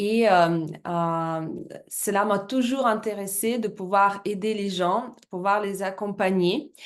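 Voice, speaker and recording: With a Russian accent, a woman speaks very slowly at medium pitch, her pitch varying in an ordinary way. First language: Russian (speaking French). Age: 30s. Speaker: business presenter, former fitness coach. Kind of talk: business presentation. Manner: halting, many hesitations.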